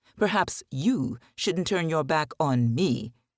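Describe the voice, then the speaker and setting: Using a put-on character voice, a man growls at a fairly slow pace and a fairly high pitch, in a very clean recording with a silent background. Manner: snarling, menacing.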